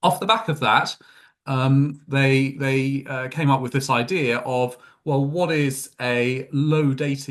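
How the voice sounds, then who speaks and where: This man has a British accent and a fairly high voice. He talks at a fairly slow pace with ordinary pitch variation. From UK. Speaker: tech company executive. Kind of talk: interview. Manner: hesitant, many fillers.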